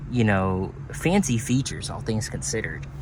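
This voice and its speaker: A man talks against noticeable background noise. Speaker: car dealer. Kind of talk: casual car walkaround.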